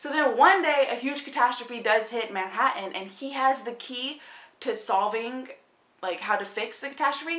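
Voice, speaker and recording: Over noticeable background noise and audible room echo, a woman talks fairly quickly in a high, animated voice with ordinary pitch variation. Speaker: book vlogger. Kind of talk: casual chat.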